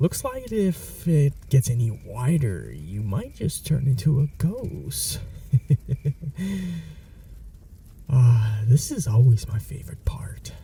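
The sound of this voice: Putting on a character voice, a man talks at a slow pace with long, frequent pauses, his medium pitch taking very wide swings under a dark, mellow tone with vocal fry.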